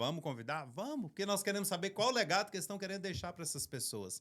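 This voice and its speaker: The speaker rushes along at a very fast pace in a Minas Gerais accent. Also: man. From Brazil, Minas Gerais. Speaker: podcast host, ministry co-founder. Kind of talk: podcast introduction.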